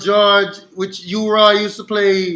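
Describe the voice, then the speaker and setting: A man with an American accent speaks in a raised, projected voice that sits high in pitch. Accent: Jamaican-New York. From Jamaica, Kingston. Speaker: sound system owner. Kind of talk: interview. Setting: video call.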